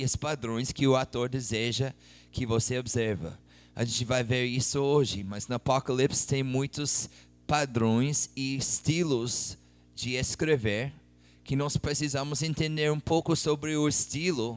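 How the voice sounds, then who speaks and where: With music in the background, a man with a non-native accent speaks at a fairly slow pace and medium pitch, with ordinary pitch variation. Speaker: missionary preacher. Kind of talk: sermon.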